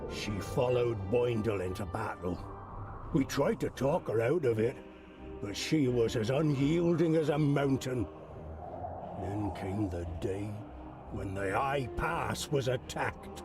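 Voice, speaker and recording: Someone uses a put-on character voice at a fairly slow pace with long, frequent pauses over clear background noise. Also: man, medium pitch for a man. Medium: video game. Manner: sombre, heavy.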